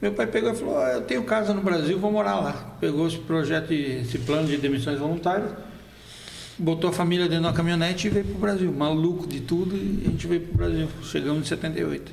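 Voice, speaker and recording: Talking at a very fast pace, a man has a fairly high pitch and lively intonation. Noticeable background noise and audible room echo come through. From Brazil, Foz do Iguaçu (born in Argentina, moved at 7). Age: 50s. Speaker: photojournalist. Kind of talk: casual interview.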